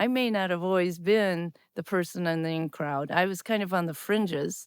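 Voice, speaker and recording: A woman with a Midwestern US accent speaks at a moderate pace in a fairly low pitch, recorded very cleanly against a silent background. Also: ordinary pitch variation. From US Midwest, Wisconsin. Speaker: podcast host, former teacher, technology officer. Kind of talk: casual chat.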